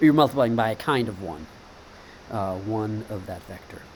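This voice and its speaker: Amid audible room echo and noticeable background noise, a man with a fairly low voice talks at a fairly quick pace. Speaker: teacher. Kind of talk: lecture. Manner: halting.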